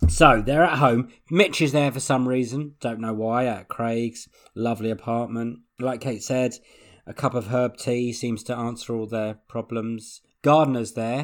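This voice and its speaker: With an English accent, a man talks fairly slowly at medium pitch with fairly even intonation. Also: very clean recording, silent background. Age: 30s. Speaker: podcast host. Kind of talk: casual chat.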